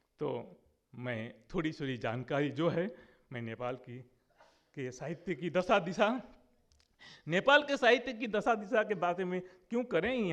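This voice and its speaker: The voice shows big swings in loudness along with very wide pitch swings. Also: man. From India, West Bengal (Jalpaiguri district). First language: Nepali (speaking Hindi). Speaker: conference speaker on literature. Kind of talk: conference speech.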